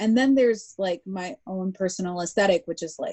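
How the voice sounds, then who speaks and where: In an American accent, a woman with a plain, everyday voice speaks at a medium pitch with ordinary pitch variation. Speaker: artist. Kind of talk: interview conversation. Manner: casual, filler-heavy speech with many likes.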